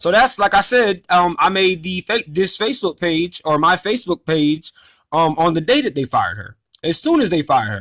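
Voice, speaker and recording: A man speaks loudly and fairly quickly, his pitch swinging very widely. The sound is dry and close, with no echo. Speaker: former restaurant employee telling a grievance story. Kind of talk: casual monologue vlog. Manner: talkative, many fillers.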